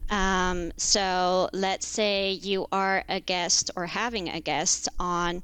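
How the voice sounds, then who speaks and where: Over a silent background on a very clean recording, a woman reads at a very slow pace with hardly any pauses, her medium-pitched voice bright and sharp in tone and her intonation monotone and flat. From Netherlands. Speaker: contract lawyer. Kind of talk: podcast interview, casual chat. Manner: hesitant, many fillers.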